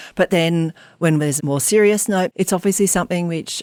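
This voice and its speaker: A woman with an Australian accent speaks with lively intonation. The sound is dry and close with no echo, on a very clean recording with a silent background. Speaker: arts school chief executive. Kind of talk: interview. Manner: fast; casual.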